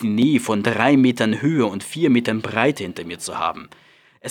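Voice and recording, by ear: A natural voice reading aloud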